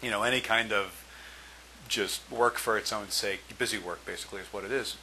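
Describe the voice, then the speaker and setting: Bright and sharp in tone, a man talks at a medium pitch and moderate pace with ordinary pitch variation. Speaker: test prep tutor. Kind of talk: tutorial. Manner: hesitant, with fillers and stumbles.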